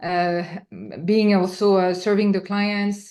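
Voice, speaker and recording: In a French accent, a woman speaks with monotone, flat intonation. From France. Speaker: entrepreneur. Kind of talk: interview answer. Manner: hesitant, many fillers.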